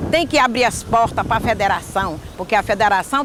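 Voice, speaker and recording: A woman with lively intonation at a fairly quick pace amid noticeable background noise. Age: 70s. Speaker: community leader. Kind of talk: interview testimony.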